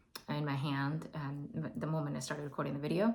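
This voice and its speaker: A woman, with audible room echo. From India. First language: not English (Indian language). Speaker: tarot and oracle card reader. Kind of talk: spiritual oracle reading to camera. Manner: halting, many fillers.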